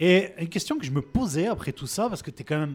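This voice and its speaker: Here is a man with a normal speaking voice. He talks at a fairly quick pace with lively intonation. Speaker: podcast co-host. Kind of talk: live public interview.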